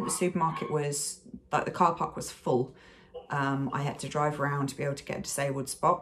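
With big swings in loudness, a woman with a very deep, low pitch talks at a fairly quick pace over light background noise. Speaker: vlogger. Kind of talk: casual vlog chat. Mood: frustrated, recounting stressful trip. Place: home room. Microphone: phone near.

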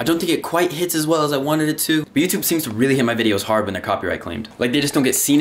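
Over light background noise, the speaker goes at a very fast pace with lively intonation. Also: man. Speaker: vlogger. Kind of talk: casual vlog chat. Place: home room. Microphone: phone near.

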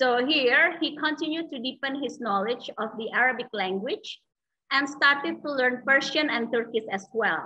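In an Indonesian accent, a woman uses a raised, projected voice with a bright, sharp tone and high pitch against a quiet background. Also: lively intonation, moderate pace. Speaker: moderator. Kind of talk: formal introduction; Q&A moderation. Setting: video call. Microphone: video call.

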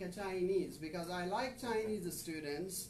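With a Pakistani accent, a man talks over light background noise, and audible room echo surrounds his voice. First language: Urdu. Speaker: visiting professor. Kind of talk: lecture. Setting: classroom. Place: classroom. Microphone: camera far.

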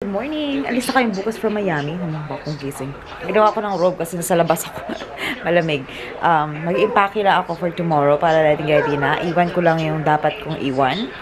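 A woman talks very rapidly while noticeable noise sits in the background. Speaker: vlogger. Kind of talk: casual vlog chat. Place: home room. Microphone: phone near.

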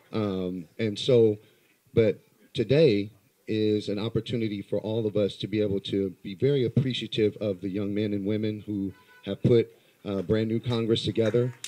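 A man talks at a moderate pace with a fairly low pitch and fairly even intonation. Music plays in the background. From US West Coast, Los Angeles. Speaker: community activist. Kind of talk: public speech. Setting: live event with audience. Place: hall. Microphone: handheld.

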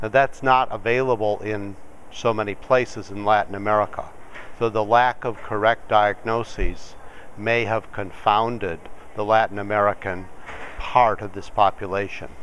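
A man speaking at a moderate pace over light background noise. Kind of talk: interview answer. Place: studio.

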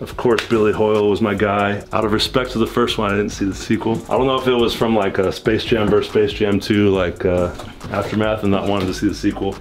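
Over light background noise, a man talks at a very fast pace with hardly any pauses, a fairly low pitch and monotone, flat intonation. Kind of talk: casual tour commentary. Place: home room.

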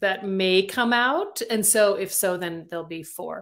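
The speech moves at a moderate pace with ordinary pitch variation. The background is quiet. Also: woman. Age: 50s. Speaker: romance novelist; interview guest. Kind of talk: interview. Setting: video call. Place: home room. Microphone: webcam.

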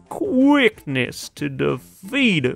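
A put-on character voice speaks at a very slow pace, with faint music playing in the background. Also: man. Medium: game stream. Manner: cheerful, chatty.

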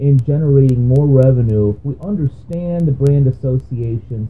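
With ordinary pitch variation, this man keeps to a moderate pace. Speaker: business podcast host. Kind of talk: explainer monologue. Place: home room. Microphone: webcam.

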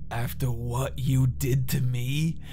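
A man puts on a character voice at a very slow pace. Clear background noise is present. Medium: comedy sketch. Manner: menacing, gloating.

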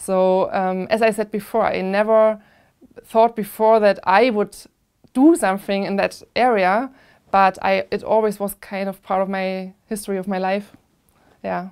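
Over a quiet background, a woman speaks with a German accent at a medium pitch. Her intonation is fairly even and her pace fairly slow. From Germany, Plauen in Saxony; Saxony, Germany. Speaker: analog astronaut and microbiologist. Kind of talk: interview. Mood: calm, reflective. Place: studio. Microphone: lapel.

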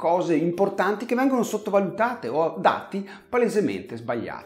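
A moderately paced male voice. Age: 50s. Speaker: health channel host. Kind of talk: direct-to-camera video monologue. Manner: conversational.

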